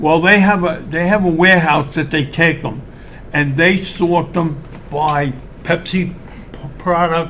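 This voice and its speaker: Amid noticeable background noise, a man speaks fairly slowly in a high voice with fairly even intonation and long, frequent pauses. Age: 80s+. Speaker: Korean War Marine veteran. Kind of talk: interview answer.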